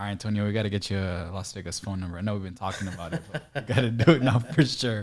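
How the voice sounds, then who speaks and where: A man with a fairly low pitch and ordinary pitch variation, at a very fast pace with hardly any pauses and big swings in loudness. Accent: American. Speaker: real estate investor, interviewer. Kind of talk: casual chat.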